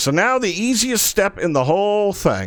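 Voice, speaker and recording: This is a man speaking. The recording is very clean, with a silent background. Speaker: game streamer. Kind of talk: live stream commentary. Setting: live stream. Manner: fast.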